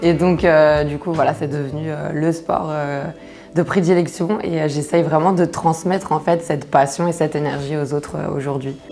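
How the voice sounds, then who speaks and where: Over music in the background, a woman speaks at a moderate pace in a very deep, low pitch with monotone, flat intonation. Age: 30s. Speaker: karate coach. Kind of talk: interview. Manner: hesitant, many fillers.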